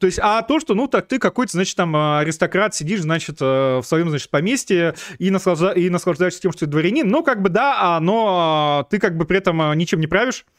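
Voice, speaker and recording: A man talks with a high pitch and lively intonation. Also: fairly quick pace, dry, close sound with no echo. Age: 30s. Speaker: political streamer and show host. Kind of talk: live stream monologue answering viewer questions. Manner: many filler hesitations (э, а); sarcastic, ironic delivery.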